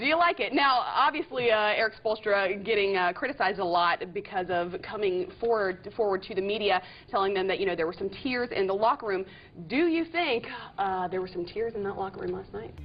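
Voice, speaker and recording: At a fairly quick pace, an unremarkable speaking voice gets through its words. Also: woman, medium pitch for a woman, lively intonation. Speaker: sports interviewer. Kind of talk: sports TV interview and hosting.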